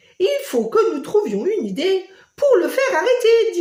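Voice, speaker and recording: A woman does a put-on character voice, squeaky and pitched extremely high. Her pace is moderate. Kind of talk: bedtime story. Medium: read story.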